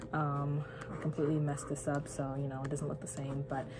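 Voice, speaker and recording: Audible room echo colors the recording. The speaker is a woman. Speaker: church creative director and youth leader vlogger. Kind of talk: casual vlog talk with mini tutorial. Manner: casual, chatty.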